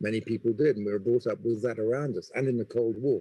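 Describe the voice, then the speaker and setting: A man with an English accent speaks at a medium pitch in a dark, mellow tone. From England. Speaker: business school dean. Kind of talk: panel discussion.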